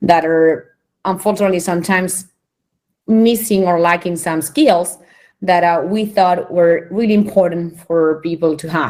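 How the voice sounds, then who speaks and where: In a Spanish accent, a woman speaks at a moderate pace in a fairly low voice with ordinary pitch variation on a very clean recording with a silent background. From Spain. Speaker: internet organization director. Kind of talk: conference presentation. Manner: hesitant, many fillers.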